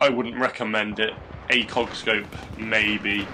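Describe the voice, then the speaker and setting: Noticeable background noise behind a man with a fairly low pitch, talking at a fairly slow pace. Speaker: gaming YouTuber. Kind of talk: gameplay tutorial commentary. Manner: hesitant, many fillers; mumbling.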